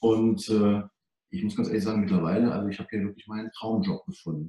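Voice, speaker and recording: Somewhat breathy, with a dark, mellow tone, the voice moves at a very fast pace with ordinary pitch variation. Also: man. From Germany, Hunsrück (Rhineland-Palatinate). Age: 40s. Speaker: financial advisor for doctors. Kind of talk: interview.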